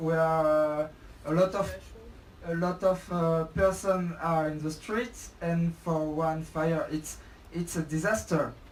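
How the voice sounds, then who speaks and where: A French accent at a fairly slow pace, over noticeable background noise. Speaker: protester. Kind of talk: casual discussion. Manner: halting.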